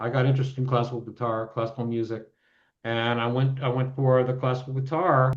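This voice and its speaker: There's a fairly quick pace to this man's talking. He has an ordinary speaking voice pitched in the medium range. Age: 60s. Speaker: composer and guitarist. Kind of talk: casual chat.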